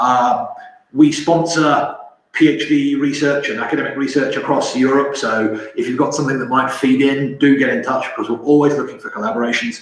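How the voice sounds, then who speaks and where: Speaking at a fairly quick pace with fairly even intonation, a man with a London accent is heard amid audible room echo and noticeable background noise. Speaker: company representative presenting technology. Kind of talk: webinar presentation. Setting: online webinar. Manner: halting, with fillers and repetitions.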